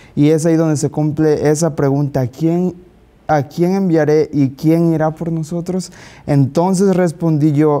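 With a Mexican accent, a man talks at a fairly slow pace in a dark, mellow tone. His pitch is fairly high and his intonation fairly even. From Mexico. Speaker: Bible study participant; panel participant. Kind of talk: Bible study discussion. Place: studio. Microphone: lapel.

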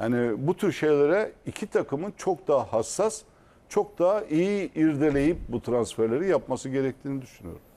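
His pitch is fairly high, his tone dark and mellow. The man speaks at a moderate pace with lively intonation. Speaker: football pundit. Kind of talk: casual chat.

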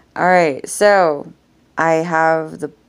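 With flat, monotone intonation, the woman talks at a very deep, low pitch. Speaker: vlogger. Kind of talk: casual vlog chat. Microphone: phone near.

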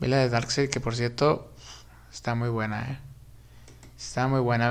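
A man speaks at a moderate pace with a medium pitch. His intonation is monotone and flat. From Mexico. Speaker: YouTuber film commentator; film news youtuber. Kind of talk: live stream chat about films; casual commentary. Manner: casual, with many fillers. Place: home room.

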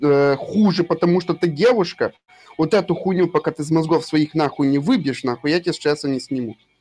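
Speaking with a normal speaking voice, a man keeps a moderate pace and a fairly high pitch. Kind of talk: heated debate. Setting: voice chat during game raid.

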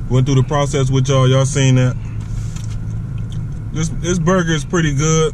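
Over noticeable background noise, a man talks in monotone, flat intonation with a dry sound and no echo. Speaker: food reviewer. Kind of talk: casual food review chat. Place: car. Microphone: phone near.

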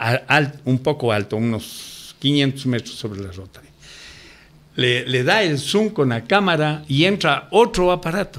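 A man speaks at a fairly slow pace, his fairly high voice swinging very widely in pitch. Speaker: ufologist. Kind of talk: radio interview.

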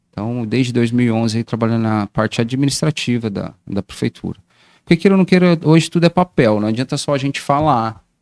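A man at medium pitch and moderate pace, in a dry sound with no echo against a quiet background. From Brazil, Guarulhos, greater São Paulo; São Paulo state, Brazil. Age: 40s. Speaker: municipal council pre-candidate; council candidate. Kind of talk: casual interview on livestream. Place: studio. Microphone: studio mic.

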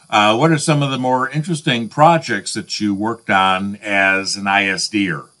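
Over a quiet background, a man with a plain, everyday voice talks at a moderate pace in a fairly low pitch, with lively intonation and hardly any pauses. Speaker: interviewer. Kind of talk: interview. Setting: video call. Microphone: video call.

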